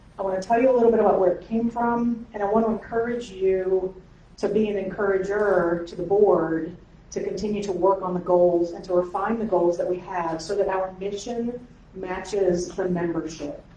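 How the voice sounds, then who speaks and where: A woman speaks in a room with audible echo. Noticeable background noise sits behind her voice. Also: medium pitch for a woman. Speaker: pastor and council president. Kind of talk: meeting welcome address. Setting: in-person meeting in church space, audience present. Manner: fast when excited.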